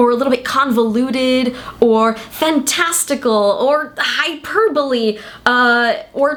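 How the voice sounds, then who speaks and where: Over noticeable background noise, a woman speaks in an upbeat tone with a high pitch and ordinary pitch variation. Her pace is fairly slow and her loudness very even. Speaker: writer. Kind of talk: casual talk to camera.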